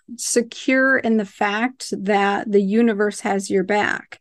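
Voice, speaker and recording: A woman talks at a very slow pace against a quiet background. Her pitch is fairly high and her intonation fairly even. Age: 40s. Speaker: gynecologist. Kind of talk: casual chat.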